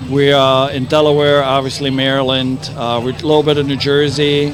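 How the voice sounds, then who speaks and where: A fairly high-pitched man at a moderate pace, with noticeable background noise and audible room echo. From East Germany. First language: German. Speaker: brewery representative. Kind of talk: casual interview. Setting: outdoor festival.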